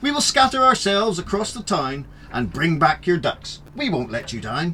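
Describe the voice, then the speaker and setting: Noticeable background noise accompanies a man speaking at a moderate pace with very wide pitch swings. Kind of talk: children's story reading.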